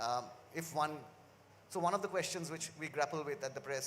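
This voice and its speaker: The speaker has a Bengali accent and a fairly quick pace with ordinary pitch variation. Noticeable background noise runs underneath. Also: man. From India, Kolkata (West Bengal). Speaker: university press publisher. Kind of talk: panel discussion. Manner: halting, many fillers.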